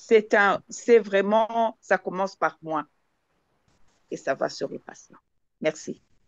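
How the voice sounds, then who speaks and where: A woman at medium pitch speaks at a very slow pace, with long, frequent pauses. The sound is dry and close with no echo. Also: ordinary pitch variation, big swings in loudness. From Zambia. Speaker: palliative care participant. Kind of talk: discussion contribution in online session. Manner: halting, many hesitations and repetitions.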